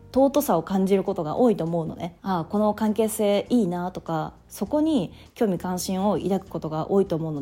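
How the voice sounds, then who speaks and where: Fairly quick and lively in intonation, a woman speaks at a medium pitch with a dark, mellow tone. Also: hardly any pauses. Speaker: podcast host. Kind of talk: solo talk podcast monologue.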